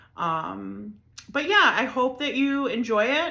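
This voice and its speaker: In an American accent, a woman speaks with a bright, sharp tone and audible room echo. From Chicago area, Illinois. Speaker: podcast host. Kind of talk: casual monologue. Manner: filler-heavy, rambling.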